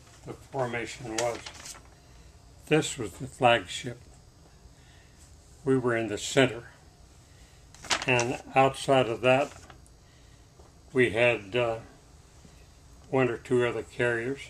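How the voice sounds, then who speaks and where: Noticeable background noise sits behind a man with a medium pitch. He speaks at a very slow pace with fairly even intonation and long, frequent pauses. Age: 80s+. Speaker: war veteran. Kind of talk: interview answer.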